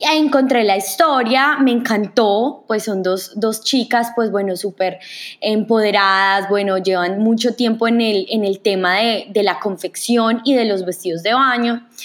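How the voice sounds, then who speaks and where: A woman with a fairly high pitch at a fairly slow pace, hardly any pauses, on a very clean recording with a silent background. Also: ordinary pitch variation. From Colombia, Manizales. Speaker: podcast host. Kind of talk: podcast introduction monologue. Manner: hesitant, many fillers.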